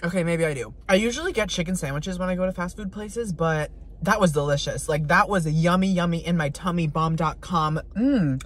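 A man speaks at a fairly quick pace in a dry sound with no echo. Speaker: food vlogger. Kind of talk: casual vlog chat. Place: car. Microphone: phone near.

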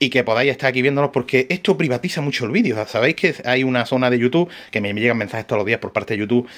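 In a quiet setting, a man talks at a very fast pace. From Granada, Andalusia, Spain; Andalusia, Spain. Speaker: radio-control shop owner and YouTuber; radio-control shop owner, YouTuber. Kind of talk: tutorial. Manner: animated, repetitive. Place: shop. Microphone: phone near.

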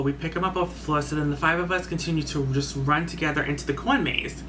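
The speech is very fast with hardly any pauses, over noticeable background noise. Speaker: YouTube storyteller. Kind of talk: scary story time, told as a spooky first-person tale. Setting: solo video recording. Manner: dramatic and suspenseful, with excited swearing. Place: home room. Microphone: webcam.

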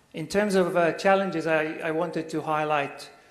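Noticeable background noise surrounds a man speaking at a fairly slow pace. His pitch is fairly high, with ordinary pitch variation. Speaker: university lecturer. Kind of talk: lecture. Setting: stage with audience. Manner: halting.

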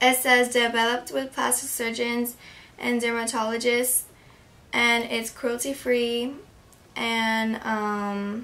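A woman with an American accent, her tone bright and sharp at fairly high pitch, monotone and flat, very slow, with long, frequent pauses. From California. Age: young. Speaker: beauty YouTuber. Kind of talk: casual makeup review to camera. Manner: hesitant, many filler words. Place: home room. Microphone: phone near.

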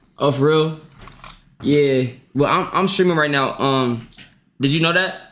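The delivery is animated and fairly slow, with very even loudness and long, frequent pauses. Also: man. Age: 20s. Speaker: livestreamer. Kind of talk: casual livestream chat. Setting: livestream with Discord call. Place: home room.

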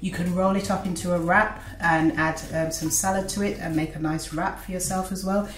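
Some room reverberation can be heard as a woman speaks at an average speed. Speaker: home cook host. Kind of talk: tutorial. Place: kitchen. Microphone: camera far.

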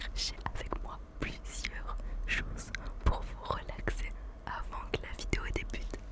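Very slow whispering from a woman, broken by long, frequent pauses. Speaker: gaming and ASMR YouTuber. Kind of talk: casual talk to camera, ASMR. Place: home room. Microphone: studio mic.

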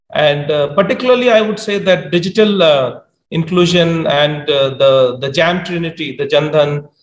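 A high-pitched male voice at a fairly slow pace, with audible room echo. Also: ordinary pitch variation. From India. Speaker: government official; panelist. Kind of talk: panel discussion. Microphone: video call.

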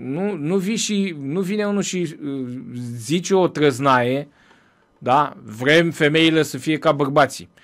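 A man with a fairly high pitch talks at a very slow pace with ordinary pitch variation, in a very clean recording with a silent background. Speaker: Orthodox priest hosting a press review show. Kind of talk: press review commentary. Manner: conversational, with frequent hesitations.

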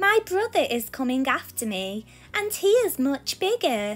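A woman uses a put-on character voice, high-pitched and fairly bright in tone, with big pitch swings at a fairly slow pace. Faint music plays in the background.

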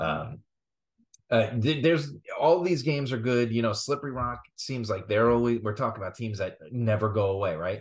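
Over a quiet background, a man speaks at a fairly quick pace with ordinary pitch variation. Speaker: podcast co-host. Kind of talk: sports commentary chat. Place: home room. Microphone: video call.

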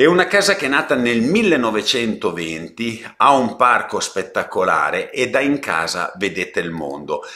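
Barely pausing at all, a man talks at a moderate pace. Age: 60s. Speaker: real estate agent. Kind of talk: property presentation live stream; live property presentation. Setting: live stream. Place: home room. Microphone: webcam.

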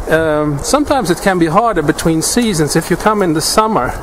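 Light background noise sits under speech that moves at a fairly quick pace with ordinary pitch variation. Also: man. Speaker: bushcraft instructor. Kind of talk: tutorial. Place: forest.

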